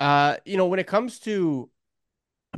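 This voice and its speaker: A plain, everyday voice moves at a moderate pace with lively intonation. The sound is dry and close with no echo, and the background is quiet. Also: man. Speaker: podcast host. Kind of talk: casual chat.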